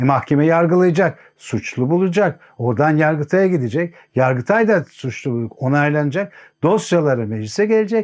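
Against a quiet background, a man with a fairly high voice talks at a moderate pace with lively intonation in an ordinary speaking voice. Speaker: political commentator. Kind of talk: political commentary monologue.

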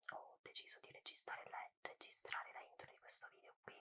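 A woman is whispering. She goes at a fairly quick pace. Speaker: ASMR content creator. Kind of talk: casual talk to camera, intro to a cooking and tasting video. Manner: whispered, soft-spoken. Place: home room.

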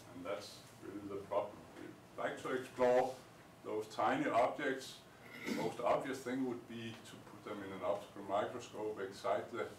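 Amid light background noise and audible room echo, a man speaks at a moderate pace with long, frequent pauses and big swings in loudness. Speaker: lecturer. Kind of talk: lecture. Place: classroom. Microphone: camera far.

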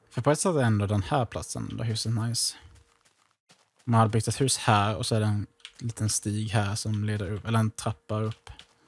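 A man in a plain, everyday voice, fairly low in pitch, at a moderate pace with fairly even intonation. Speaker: gaming YouTuber. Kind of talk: casual gameplay commentary. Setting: voice chat while gaming.

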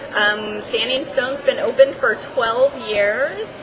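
A woman with a high pitch and ordinary pitch variation speaks at a fairly slow pace over noticeable background noise. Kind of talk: interview answer. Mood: friendly, upbeat. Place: bar. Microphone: camera far.

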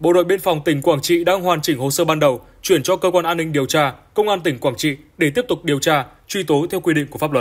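The delivery comes at a very fast pace with ordinary pitch variation. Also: man, fairly high pitch for a man. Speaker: news presenter. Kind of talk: news reading.

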